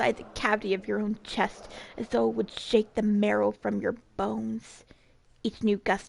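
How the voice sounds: The speaker reads in a natural reading voice. The delivery is simply a natural reading voice.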